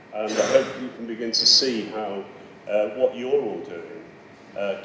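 Over light background noise, a man talks at a fairly slow pace with audible room echo. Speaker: keynote speaker. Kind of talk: lecture. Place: hall. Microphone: podium.

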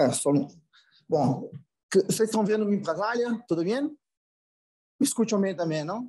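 Against a quiet background, a man with a Portuguese accent speaks at a moderate pace in a high voice with a dark, mellow tone, lively intonation, and long, frequent pauses. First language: Portuguese (speaking Spanish). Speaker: finance executive; panelist. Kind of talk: conference presentation. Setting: video call. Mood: friendly, apologetic. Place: office. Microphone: video call.

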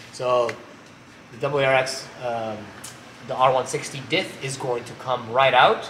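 A man talks in a room with audible echo and some light background noise. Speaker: presenter. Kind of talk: tutorial. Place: garage. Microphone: camera far.

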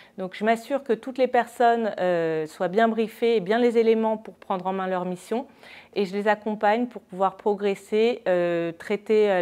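Here a woman speaks with fairly even intonation. Her pace is moderate. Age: 40s. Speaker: deputy manager at an agency. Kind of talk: company testimonial interview. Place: office. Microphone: lapel.

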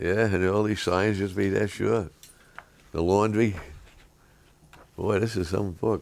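A man with a fairly low pitch speaks at a fairly slow pace in a monotone, flat intonation, his loudness very even, with long, frequent pauses. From New York City, Lower East Side. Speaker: interviewee recalling childhood. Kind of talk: interview answer. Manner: casual, anecdotal storytelling. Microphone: camera far.

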